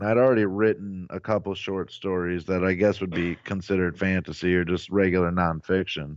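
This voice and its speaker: With a Midwestern US accent and a very deep, low pitch, a man talks at a fairly quick pace with hardly any pauses and fairly even intonation. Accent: US Midwest. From Ohio, Cleveland area. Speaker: author and comedian. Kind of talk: casual interview.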